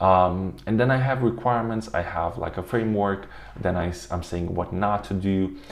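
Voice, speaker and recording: A man with a non-native accent speaks in a very deep, low pitch over noticeable background noise. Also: ordinary pitch variation, moderate pace. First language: not English. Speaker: automation tutorial youtuber. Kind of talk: tutorial. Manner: halting, many fillers.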